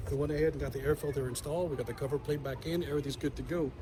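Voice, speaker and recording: A man's fairly high voice at a very fast clip, with fairly even intonation. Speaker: car DIY video host. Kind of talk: tutorial. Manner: halting, self-correcting; casual.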